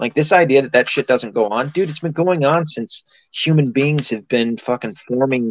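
With an American accent, a man has a normal speaking voice, fairly high in pitch, with lively intonation at a fairly slow pace, recorded with a dry, close sound and no echo. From US South. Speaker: podcast host. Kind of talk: casual chat.

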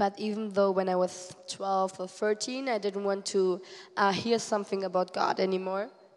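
A woman at a medium pitch and a fairly slow pace, with monotone, flat intonation. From Germany. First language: German (speaking Portuguese). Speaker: missionary. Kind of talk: testimony. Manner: halting.

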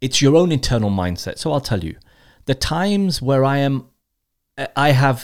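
A man talks at a medium pitch on a very clean recording with a silent background. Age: 30s. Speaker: entrepreneur and investor. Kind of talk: casual interview.

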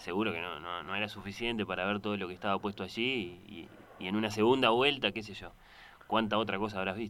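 A man's voice sits fairly low in pitch. Its tone is bright and sharp. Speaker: radio host. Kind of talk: radio interview.

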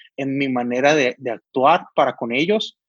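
Recorded dry and close with no echo, a man with a plain, everyday voice and a fairly high pitch speaks at a moderate pace. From Sonora, northern Mexico. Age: 20s. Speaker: volunteer helping homeless people. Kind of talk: casual chat.

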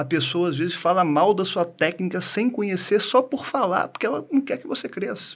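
A man's normal speaking voice, lively in intonation, at a moderate pace. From Brazil (small town). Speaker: dentist, co-host. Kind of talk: casual chat.

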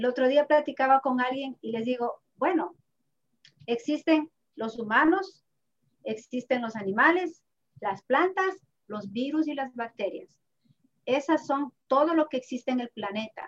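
With long, frequent pauses and a fairly slow pace, a woman speaks at a high pitch with lively intonation in dry, close sound with no echo. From Ecuador (Ibarra). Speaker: accountant and therapist. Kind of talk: interview. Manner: halting.

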